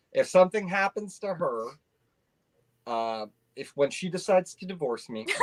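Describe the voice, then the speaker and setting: This man's voice is high in pitch and swings very widely, with big shifts in loudness, a moderate pace, and long, frequent pauses. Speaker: hot sauce reviewer, YouTuber. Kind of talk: casual chat.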